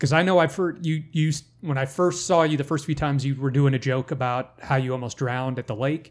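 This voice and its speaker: Using a normal speaking voice, a man of fairly high pitch talks at a fairly quick pace with hardly any pauses and fairly even intonation. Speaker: podcast co-host and beginning comic. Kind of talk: casual chat.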